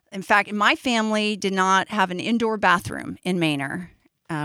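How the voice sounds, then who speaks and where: A woman's unremarkable speaking voice at medium pitch, with ordinary pitch variation and a moderate pace, on a very clean recording against a silent background. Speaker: storyteller. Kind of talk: live storytelling. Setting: stage with audience.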